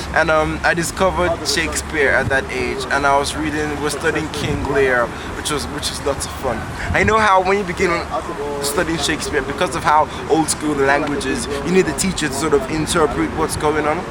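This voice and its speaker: Over noticeable background noise, a man speaks at a fairly quick pace in a fairly high pitch, with ordinary pitch variation. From Nigeria. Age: 20s. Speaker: poet. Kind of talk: interview answer. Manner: casual, hesitant.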